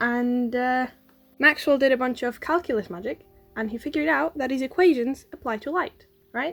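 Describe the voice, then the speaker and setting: With music in the background, a woman speaks quietly at a fairly quick pace, her high pitch carrying lively intonation. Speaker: science YouTuber. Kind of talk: educational explainer, unscripted. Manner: quiet, trying to speak louder.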